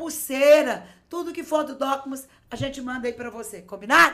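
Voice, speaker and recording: Animated and bright with a sharp tone, a woman speaks at a high pitch and moderate pace with ordinary pitch variation. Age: 50s. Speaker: bishop. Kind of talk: preaching on a live podcast. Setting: studio live stream.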